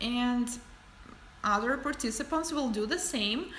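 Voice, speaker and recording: With a non-native accent and a high pitch, a woman speaks fairly slowly in a room with audible echo. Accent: foreign. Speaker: nail artist and educator. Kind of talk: livestream tutorial and Q&A. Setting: livestream. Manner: casual, some hesitations.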